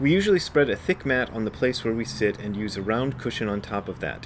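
Light background noise sits behind the speaker. A man talks at a moderate pace. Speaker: zen teacher. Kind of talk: reading aloud with commentary. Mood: calm, lightly humorous. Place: garden. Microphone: phone near.

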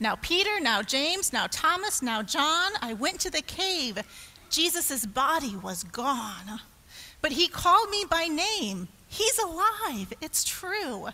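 In a put-on character voice, a woman speaks slowly at a high pitch, with big pitch swings and a bright, sharp tone.

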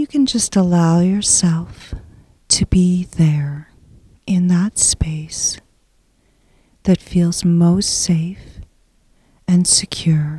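A woman with a fairly low pitch and a dark, mellow, soothing, gentle tone speaks at a very slow pace with long, frequent pauses, somewhat breathy and at very even loudness, with ordinary pitch variation and a dry, close sound with no echo. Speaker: hypnosis guide. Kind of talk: guided hypnosis meditation. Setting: solo audio recording. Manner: slow, soothing, hushed and unhurried, with long pauses; gentle, calm, hypnotic cadence.

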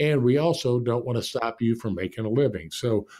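In an American accent, a man speaks at a moderate pace in a medium pitch, his tone dark and mellow and his pitch variation ordinary. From Indianapolis, Indiana (US Midwest). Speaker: business executive, former NFL coach. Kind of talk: interview.

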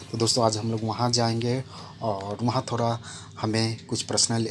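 There is loud background noise. A man talks at a fairly slow pace. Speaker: travel vlogger. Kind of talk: casual vlog chat. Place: station. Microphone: phone near.

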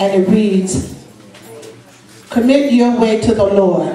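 With audible room echo around her, a woman speaks at a very slow pace with ordinary pitch variation. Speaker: preacher. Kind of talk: sermon. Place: church.

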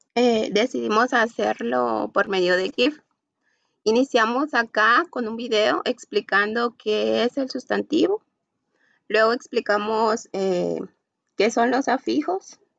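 Someone speaks at a very slow pace, with a dry sound, no echo and a quiet background. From Guatemala. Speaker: university student. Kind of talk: class presentation. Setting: video call. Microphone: video call.

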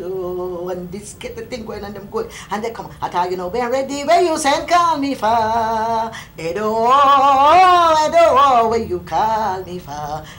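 Hardly pausing, a woman speaks at a fairly high pitch with very wide pitch swings over light background noise. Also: fairly slow pace, big swings in loudness. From Jamaica. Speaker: folklorist. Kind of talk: interview answer. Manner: bright, sunny. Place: home room.

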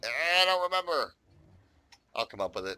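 A man with an American accent, a bright, sharp tone, very wide pitch swings, and a moderate pace. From United States. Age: 50s. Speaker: gaming YouTuber. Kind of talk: gameplay commentary. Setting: home recording. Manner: casual, rambling with many fillers.

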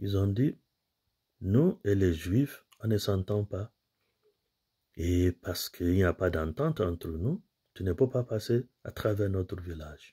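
Against a quiet background, a man talks at a very slow pace in a fairly low pitch, his voice somewhat breathy and dark and mellow in tone. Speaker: priest giving homily. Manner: earnest, didactic, steady pace, explains scripture readings point by point; formal, pastoral, addresses listeners directly as brothers and sisters. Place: home room. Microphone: phone near.

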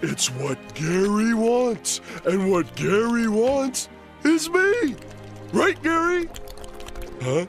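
A man's cartoonish character voice, high-pitched and very slow, over clear background music. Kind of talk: comedy skit dialogue.

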